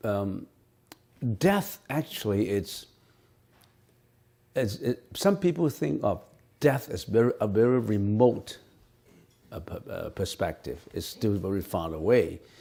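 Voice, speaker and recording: With a Cantonese accent, a man of medium pitch speaks fairly slowly in a dark, mellow tone, with very wide pitch swings and long, frequent pauses, in a very clean recording with a silent background. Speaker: Buddhist monk and teacher. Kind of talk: dharma Q&A lecture. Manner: halting, many repetitions.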